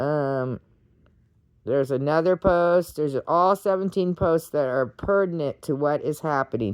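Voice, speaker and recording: The speaker talks fairly slowly with an American accent. The recording is very clean, with a silent background and a dry, close sound with no echo. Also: woman. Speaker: political commentary vlogger. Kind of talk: casual monologue reading posts. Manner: loud; animated.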